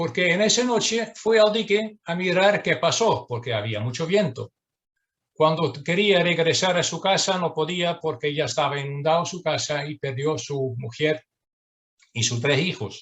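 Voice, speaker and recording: A man with a Dutch accent speaks at a fairly high pitch and a fairly slow pace, with lively intonation. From southern Netherlands. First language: Dutch (speaking Spanish). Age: 60s. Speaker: dredging engineer. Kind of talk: presentation. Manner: halting, many fillers.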